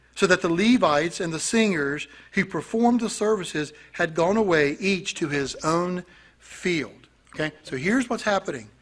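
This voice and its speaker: At a moderate pace, a man speaks at a high pitch with lively intonation. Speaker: pastor. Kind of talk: sermon, verse-by-verse Bible teaching. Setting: church congregation. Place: church. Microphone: podium.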